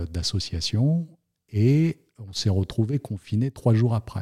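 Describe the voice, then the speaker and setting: The voice is dark, mellow and somewhat breathy, moving at a very slow pace. The recording is very clean, with a silent background. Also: man. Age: 40s. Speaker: notary. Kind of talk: interview. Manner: hesitant, many fillers and repetitions.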